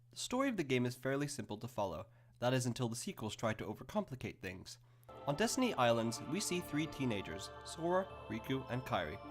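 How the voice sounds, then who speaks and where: Over music in the background, a man at a medium pitch talks at a fairly quick pace with lively intonation. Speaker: game reviewer. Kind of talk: video game review narration. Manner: fast.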